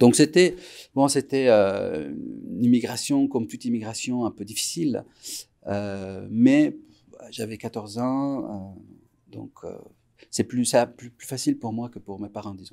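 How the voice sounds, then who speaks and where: A man speaks at a very slow pace in a very clean recording with a silent background. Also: big swings in loudness. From Iran (Tehran), moved to Quebec at 14. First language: Persian (Farsi) (speaking French). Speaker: musician. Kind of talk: interview. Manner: halting, many fillers and repetitions.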